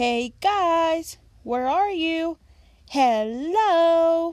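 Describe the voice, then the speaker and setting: Using a squeaky, put-on character voice, a woman speaks at an extremely high pitch with lively intonation. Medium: read story. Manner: exuberant, cheerful.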